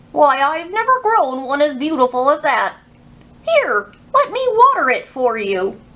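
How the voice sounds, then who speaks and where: Using a put-on character voice, a woman speaks at a high pitch. Her pace is moderate. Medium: read story.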